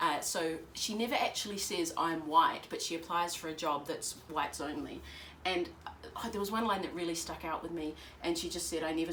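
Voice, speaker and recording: A woman in a New Zealand accent talks at a fairly quick pace and fairly low pitch with fairly even intonation. The recording carries audible room echo and noticeable background noise. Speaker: bookshop staff, book reviewer. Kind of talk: casual chat, book review. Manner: hesitant, many fillers.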